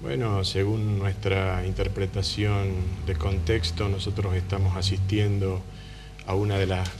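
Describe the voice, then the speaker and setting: Noticeable background noise sits under the voice. Delivery is fairly slow with monotone, flat intonation. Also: man. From Tucumán, northwest Argentina. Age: 40s. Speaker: political candidate, economist; candidate. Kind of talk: radio interview. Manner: formal. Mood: earnest, explanatory. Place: studio. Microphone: lapel.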